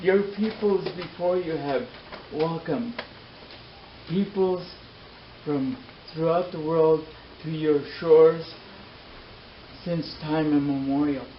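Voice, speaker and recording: A man at a very slow pace with long, frequent pauses and ordinary pitch variation, against noticeable background noise. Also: fairly high pitch for a man. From Canada (First Nations). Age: 60s. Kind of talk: public talk. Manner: halting; impassioned.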